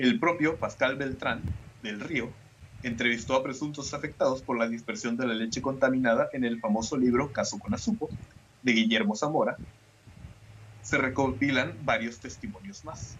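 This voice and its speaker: At a moderate pace, a man with a Mexican accent talks at a medium pitch with ordinary pitch variation. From Mexico. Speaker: podcast host. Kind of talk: casual chat with scripted narration.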